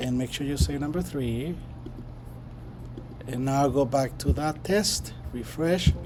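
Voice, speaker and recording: With music in the background and audible room echo, a man speaks very slowly with long, frequent pauses. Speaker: professor. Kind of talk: lecture. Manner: halting, many fillers.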